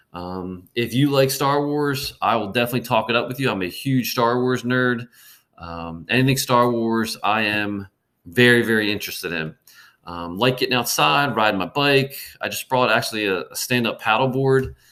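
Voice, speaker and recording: A man's bright, sharp voice with a slight Baltimore accent, medium pitch, ordinary pitch variation and a moderate pace. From Baltimore, Maryland. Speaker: middle school history teacher. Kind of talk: presentation to parents. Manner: hesitant, many fillers.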